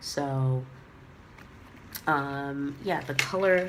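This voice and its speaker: Noticeable background noise surrounds a woman whose pitch is very deep and low. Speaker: handbag reviewer. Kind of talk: casual talk to camera.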